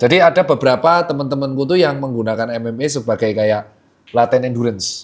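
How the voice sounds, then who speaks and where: Very fast speech from a man carries ordinary pitch variation. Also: medium pitch for a man. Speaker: podcast host. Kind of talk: casual podcast interview questions.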